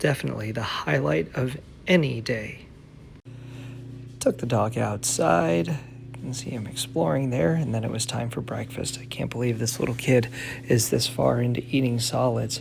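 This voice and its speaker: A man's voice with ordinary pitch variation over music in the background. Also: medium pitch for a man, moderate pace. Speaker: wrestling ring announcer. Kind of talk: vlog voiceover narration. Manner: casual.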